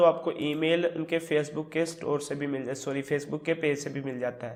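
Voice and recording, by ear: This man talks at a moderate pace with little movement in his pitch.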